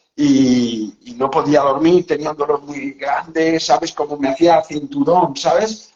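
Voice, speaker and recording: Fairly slow and fairly high-pitched, a man talks with ordinary pitch variation. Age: 60s. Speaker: psychologist and author. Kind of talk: casual interview chat. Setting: live video call. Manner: animated.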